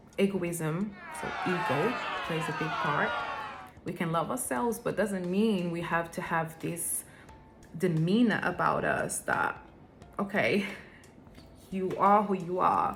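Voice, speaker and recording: A woman with a non-native accent speaks very slowly at a fairly low pitch with lively intonation and long, frequent pauses, with music in the background and audible room echo. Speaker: vlogger. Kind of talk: personal vlog talk. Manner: hesitant, with fillers.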